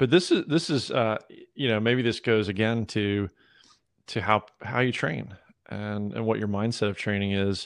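A man with an American accent and an ordinary speaking voice, fairly low-pitched, at a moderate pace with ordinary pitch variation, over a quiet background. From US South, Georgia. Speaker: podcast host and obstacle racer. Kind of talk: interview conversation.

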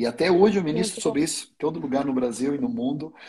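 A man with a fairly high pitch and a somewhat breathy sound. His pitch swings very widely. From Sweden. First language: Swedish (speaking Portuguese). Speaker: pastor. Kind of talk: teaching in a livestream interview. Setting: online livestream.

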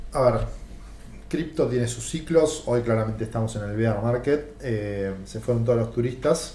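At a fairly slow pace, a man speaks at a medium pitch in a dark, mellow, somewhat breathy tone, with ordinary pitch variation and audible room echo. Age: 40s. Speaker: podcast host. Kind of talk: interview.

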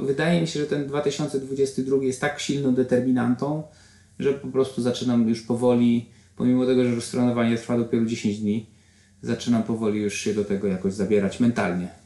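At a moderate pace, a man speaks at a medium pitch in a dark, mellow tone with ordinary pitch variation. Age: 40s. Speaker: triathlete and corporate trainer. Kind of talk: interview.

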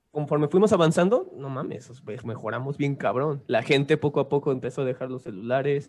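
With an ordinary speaking voice, a man talks at a fairly quick pace and a fairly high pitch, with ordinary pitch variation and hardly any pauses. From Mexico City. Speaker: musician. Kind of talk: casual chat.

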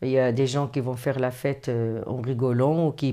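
A woman speaks in a very deep, low-pitched voice with flat, monotone intonation. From Morocco. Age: 60s. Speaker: interviewee. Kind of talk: personal storytelling interview. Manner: hesitant with repetitions.

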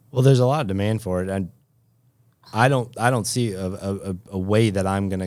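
This is a normal speaking voice at a fairly quick pace with ordinary pitch variation. The recording is very clean, with a silent background. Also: man. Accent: American. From western Massachusetts, later eastern North Carolina. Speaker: physical therapist. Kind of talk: interview.

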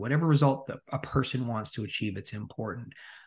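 A man speaks in a Canadian accent with lively intonation and a somewhat breathy quality. The background is quiet. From Regina, Saskatchewan, Canada. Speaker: transformation coach. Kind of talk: interview conversation.

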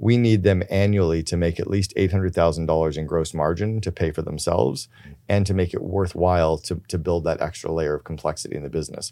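Very deep and low, a man's dark, mellow voice moves at a fairly quick pace with ordinary pitch variation in a very clean recording with a silent background. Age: 50s. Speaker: author and business coach. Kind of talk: interview. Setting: in person.

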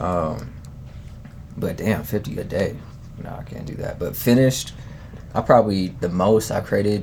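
A man with an American accent and a fairly low pitch speaks at a moderate pace with lively intonation, big swings in loudness and long, frequent pauses, over noticeable background noise. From Denver, US. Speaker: music producer. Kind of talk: casual interview. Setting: studio.

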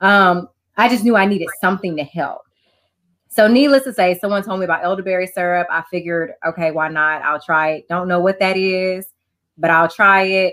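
In an American accent, a woman with an unremarkable speaking voice and medium pitch talks at a fairly quick pace with ordinary pitch variation. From Texas, Houston. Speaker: life and wellness coach. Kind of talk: interview.

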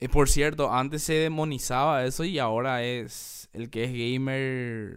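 A man's medium-pitched voice at a fairly slow pace, with fairly even intonation, on a very clean recording with a silent background. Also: hardly any pauses. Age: 30s. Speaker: podcast host. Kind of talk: solo monologue podcast. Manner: casual, halting with fillers.

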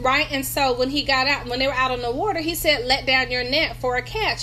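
A woman in a North Carolina accent, high-pitched, raised and projected, animated in tone and fairly quick in pace, over noticeable background noise. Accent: Southern US (North Carolina). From North Carolina, US South. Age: 50s. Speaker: pastor and business coach. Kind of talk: religious motivational talk. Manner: animated, conversational.

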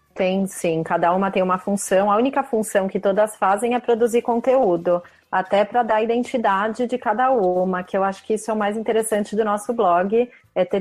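A woman's plain, everyday voice at a medium pitch, with fairly even intonation and a moderate pace. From Brazil, São Paulo state. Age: 30s. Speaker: tennis blogger. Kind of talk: casual interview.

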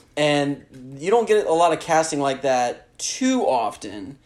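With a Southern US accent, a man speaks fairly slowly at a fairly high pitch, his intonation lively. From US South. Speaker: podcast co-host. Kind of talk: casual chat.

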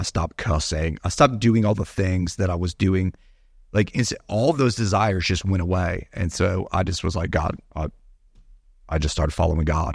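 With an American accent, a man speaks in a very deep, low voice that is somewhat breathy, with ordinary pitch variation, on a very clean recording with a silent background. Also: moderate pace. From Florida, Gulf Coast (Sarasota area). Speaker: pastor. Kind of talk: casual chat.

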